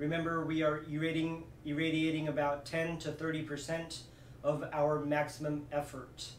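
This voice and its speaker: Audible room echo and light background noise surround the recording. A man speaks at a fairly slow pace. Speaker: movement coach. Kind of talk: tutorial. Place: home room. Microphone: camera far.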